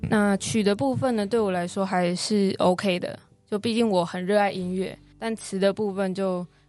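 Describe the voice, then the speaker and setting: Music plays in the background as a woman speaks at a moderate pace. Her pitch is medium and her intonation fairly even. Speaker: singer-songwriter and university student. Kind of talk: interview.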